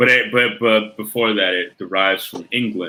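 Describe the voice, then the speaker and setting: A man with a fairly low voice at a moderate pace over noticeable background noise. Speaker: podcast co-host. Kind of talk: casual chat.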